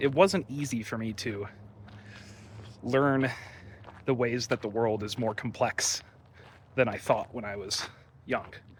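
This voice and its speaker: A man at a medium pitch with ordinary pitch variation, a fairly slow pace and long, frequent pauses. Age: 20s. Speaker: vlogger. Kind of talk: casual vlog monologue.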